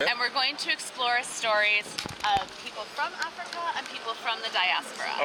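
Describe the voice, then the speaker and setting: Against noticeable background noise, a woman speaks with an American accent. Her voice is high, with lively intonation and a moderate pace. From United States. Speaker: tour guide. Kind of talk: guided walking tour talk. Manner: casual, hesitant with fillers.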